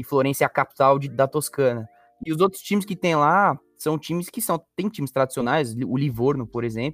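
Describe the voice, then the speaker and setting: A man at a fairly high pitch and moderate pace, dry and close with no echo, music in the background. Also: ordinary pitch variation. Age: 20s. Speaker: football fan page administrator. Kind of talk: casual chat.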